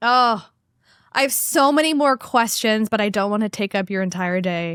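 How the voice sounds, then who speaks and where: In a very clean recording with a silent background and a dry, close sound with no echo, a woman uses a plain, everyday voice, fairly high in pitch with lively intonation. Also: moderate pace. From Canada. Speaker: podcast host and career coach. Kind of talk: casual chat.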